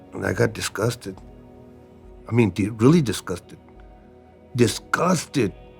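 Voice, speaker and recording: Music plays in the background. A man speaks at a moderate pace and medium pitch. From Mexican-American neighborhood, USA. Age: 60s. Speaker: recovering addict, former prisoner. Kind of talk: documentary interview testimony. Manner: emotional, casual.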